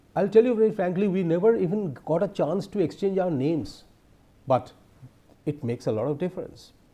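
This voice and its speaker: The speaker has an Indian accent, a dark, mellow tone and lively intonation, and talks at a fairly quick pace. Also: man, high pitch for a man. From India, not the south. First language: an Indian language other than English. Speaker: professor. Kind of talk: lecture.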